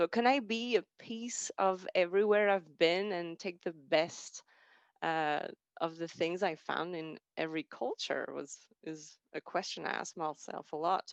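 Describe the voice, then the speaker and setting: Recorded dry and close with no echo against a quiet background, the speech moves at a fairly slow pace. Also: woman, fairly low pitch for a woman, ordinary pitch variation. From France, then Austria from age 14. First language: French. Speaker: alumni speaker. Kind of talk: personal talk on stage.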